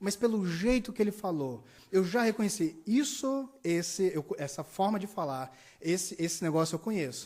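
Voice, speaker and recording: Lively in intonation, a man's high voice moves at a moderate pace. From Brazil, Ceará (Juazeiro do Norte). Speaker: pastor. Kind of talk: sermon. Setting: church service, livestreamed.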